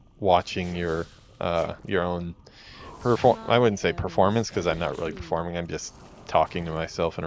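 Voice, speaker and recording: Speaking with an American accent, a man has a very deep, low pitch. His pace is fairly quick. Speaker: game developer and streamer. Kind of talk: let's play commentary. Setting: solo stream in a room. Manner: laid-back; halting, many fillers.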